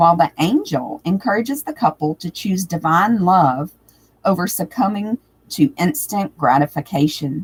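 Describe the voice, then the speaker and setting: Somewhat breathy and fairly low-pitched, a woman talks at a moderate pace with lively intonation. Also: dry, close sound with no echo. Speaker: tarot reader. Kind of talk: live stream tutorial talk.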